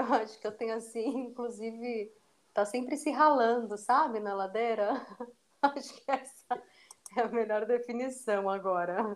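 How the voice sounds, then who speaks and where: A woman speaks fairly slowly, her pitch varying in an ordinary way. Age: 30s. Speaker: dancer and dance teacher. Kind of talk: interview conversation.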